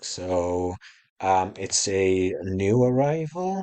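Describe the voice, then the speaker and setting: A man's fairly low-pitched voice in a British accent, against a quiet background. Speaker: small online shop owner. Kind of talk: tutorial. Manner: casual, hesitant with fillers.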